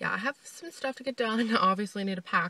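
A woman speaks very fast in a bright, sharp tone with ordinary pitch variation, the sound dry with no echo. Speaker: vlogger. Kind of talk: casual vlog chat. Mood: mildly annoyed, chatty. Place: car. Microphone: phone near.

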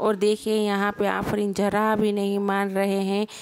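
A woman in a Gujarati accent, medium in pitch and monotone, flat in intonation. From Gujarat, India. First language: Gujarati (speaking Hindi). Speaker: vlogger. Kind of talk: travel vlog narration.

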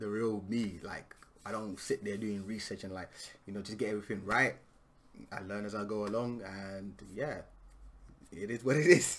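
Pausing long and often, a man talks at a moderate pace in a fairly low voice with fairly even intonation. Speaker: reaction video creator. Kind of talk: casual vlog chat. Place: home room.

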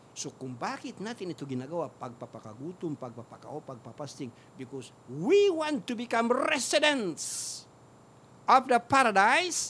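A man's high, bright, sharp voice in an animated tone, at a moderate pace, with very wide pitch swings, big swings in loudness, and light background noise. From Philippines. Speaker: Islamic preacher and radio program host; Islamic preacher, radio program host. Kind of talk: religious lecture. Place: studio. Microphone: studio mic.

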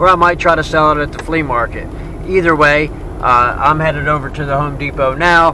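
With noticeable background noise around him, a man speaks at a fairly quick pace. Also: fairly even intonation, dry sound with no echo. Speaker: vlogger. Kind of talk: casual vlog chat. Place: car. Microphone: phone near.

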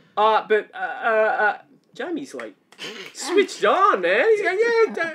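Slowly, a man talks at an extremely high pitch with big pitch swings, a bright, sharp tone and a slightly husky edge.

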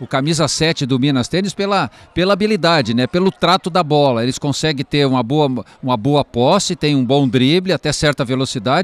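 Dry and close with no echo, a man's fairly high voice moves at a moderate pace with ordinary pitch variation and hardly any pauses. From southern Brazil (Rio Grande do Sul). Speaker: football commentator. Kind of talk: live commentary. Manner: halting, repeats words.

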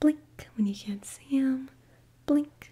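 Soft-spoken and high-pitched, a woman uses a dark, mellow tone with lively intonation. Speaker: ASMR creator. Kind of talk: soft ASMR roleplay talk. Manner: soft, close-mic ASMR murmur. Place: home room. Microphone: studio mic.

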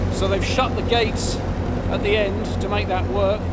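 A man's speech at a moderate pace competes with loud background noise. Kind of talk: casual vlog chat. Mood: slightly nervous. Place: tunnel cave. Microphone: phone near.

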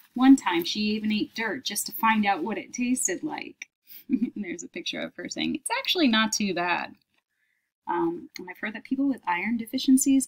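A woman speaks at a moderate pace with lively intonation, big swings in loudness and a somewhat breathy quality against a quiet background. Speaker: teacher. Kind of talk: reading aloud a children's book with comments. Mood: warm, lightly amused. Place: home room. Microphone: webcam.

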